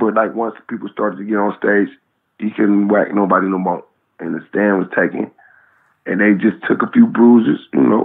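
A man talks at a moderate pace with a fairly low voice. His intonation is fairly even. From San Francisco, Fillmore district. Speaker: rapper. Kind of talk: interview storytelling.

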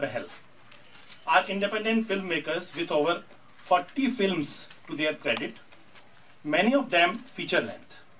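A man with an Indian accent at a moderate pace, with long, frequent pauses and light background noise. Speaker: press conference moderator. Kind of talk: press conference moderation. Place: hall. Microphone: podium.

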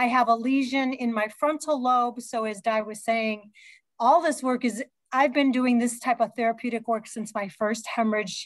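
A woman talks at a moderate pace with fairly even intonation, her sound dry with no echo against a quiet background. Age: 60s. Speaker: fitness educator and hospital fitness director; fitness educator. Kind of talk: conference presentation. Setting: video call. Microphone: video call.

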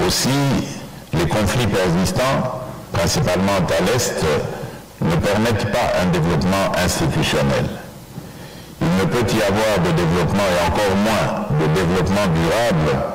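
Background noise is loud here. A man speaks at a fairly slow pace with ordinary pitch variation. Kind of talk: formal prepared speech. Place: hall. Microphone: podium.

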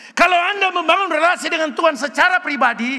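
A man talks at a very fast pace in an animated, raised and projected voice, his pitch extremely high with ordinary variation. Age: 70s. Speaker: retired pastor. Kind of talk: sermon. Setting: church. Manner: loud. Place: church. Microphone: podium.

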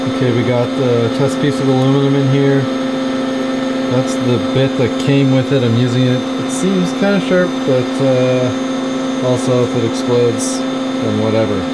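A man talks at a fairly slow pace amid loud background noise. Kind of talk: casual vlog chat. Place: workshop. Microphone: phone near.

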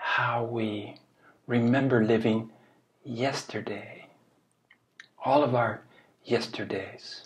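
A man speaks at a very slow pace. His intonation is monotone and flat. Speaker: spiritual teacher. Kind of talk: reflective talk, dharma-style teaching. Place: home room. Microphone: webcam.

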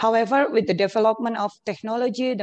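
Over a quiet background, a woman speaks with fairly even intonation in a dry, close sound with no echo. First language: Indonesian. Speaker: academic researcher. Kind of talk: conference presentation. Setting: video call.

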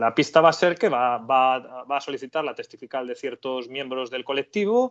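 Fairly high-pitched male speech, a plain, everyday voice with ordinary pitch variation at a fairly quick pace. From Spain, Galicia (Carballiño). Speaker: criminal lawyer. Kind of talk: legal explanation in interview.

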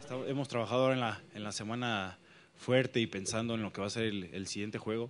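A man with a fairly low pitch, fairly even intonation and a fairly quick pace. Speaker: football player or coach. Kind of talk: interview answer. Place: hall. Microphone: handheld.

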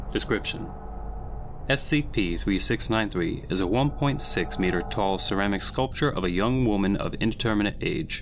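In an ordinary speaking voice, a man with a fairly low pitch talks at a fairly slow pace, his intonation lively and his loudness very even. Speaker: SCP story narrator.

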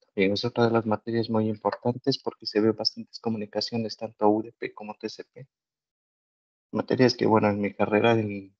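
Monotone, flat intonation comes at a moderate pace in dry sound with no echo against a quiet background. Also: man. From Ecuador. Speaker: master's student. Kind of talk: online webinar, student testimony. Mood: relaxed, positive. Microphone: video call.

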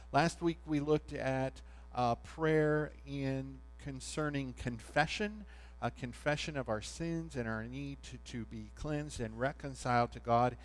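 Fairly slow speech from a man, music playing behind him. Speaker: pastor. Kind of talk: sermon. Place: church.

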